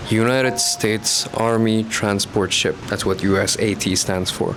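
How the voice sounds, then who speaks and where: Music plays in the background as a man speaks. His voice is fairly low, with fairly even intonation. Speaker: travel and diving vlogger. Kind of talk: casual vlog talk. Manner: quiet, talking softly.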